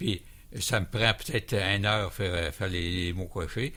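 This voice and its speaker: Against a silent background in a very clean recording, a man talks with a bright, sharp tone. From Quebec, Montmagny. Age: 70s. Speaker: plane crash survivor. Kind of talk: radio interview. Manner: halting, repeats words.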